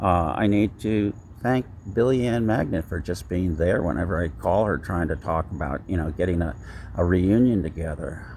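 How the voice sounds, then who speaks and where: With an American accent, a man speaks at a moderate pace in a very deep, low pitch, his intonation lively and touched with vocal fry. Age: 70s. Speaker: vlogger. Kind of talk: personal vlog monologue. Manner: halting, many fillers.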